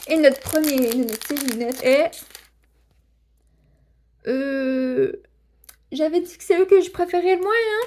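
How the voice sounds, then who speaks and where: A woman speaks at a very slow pace, her pitch swinging very widely. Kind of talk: casual toy unboxing talk to camera. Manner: stammering, hesitant.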